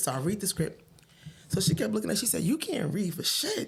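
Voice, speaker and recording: Speaking with a New Jersey accent, a woman of fairly low pitch moves at a fairly quick pace with very wide pitch swings. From Paterson, New Jersey. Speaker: stand-up comedian. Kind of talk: podcast interview answer, storytelling. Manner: stutters.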